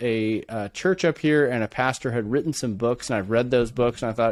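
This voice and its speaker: With a Californian accent, a man speaks at a fairly quick pace with ordinary pitch variation. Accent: Californian American. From California, Bay Area. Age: 40s. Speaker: entrepreneur. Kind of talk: podcast interview.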